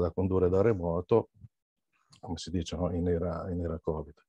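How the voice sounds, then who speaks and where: Against a quiet background, a man with a very deep, low pitch and a dark, mellow tone speaks at a moderate pace in a dry, close sound with no echo. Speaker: teacher and local history association director. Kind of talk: seminar talk. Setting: video call.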